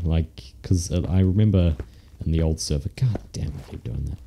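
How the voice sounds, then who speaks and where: The man has a very deep, low pitch and a fairly quick pace. Noticeable background noise sits behind him. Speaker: Minecraft let's play commentator. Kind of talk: casual gaming commentary.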